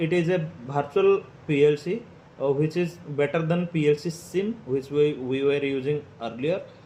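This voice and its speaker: Speaking at a moderate pace, a man with an Indian accent uses a fairly high voice with ordinary pitch variation. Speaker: PLC automation tutorial creator. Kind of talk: tutorial. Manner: hesitant, many fillers.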